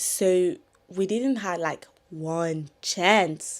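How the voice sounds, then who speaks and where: In a very clean recording with a silent background, a woman with a French accent speaks at a fairly low pitch. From France. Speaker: content creator. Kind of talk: casual storytime talk to camera.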